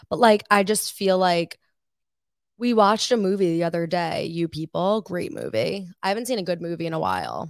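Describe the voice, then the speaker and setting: With an American accent and a plain, everyday voice, a woman speaks at a moderate pace and a fairly low pitch with ordinary pitch variation. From Long Island, New York. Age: 20s. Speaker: student podcast co-host. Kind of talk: casual chat.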